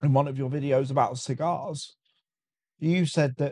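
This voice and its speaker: A man speaks with a British accent in a dark, mellow tone. His pitch sits fairly high for a man, and his intonation stays fairly even. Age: 20s. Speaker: cigar enthusiast guest. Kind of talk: casual chat. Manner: stammering, repeats words often.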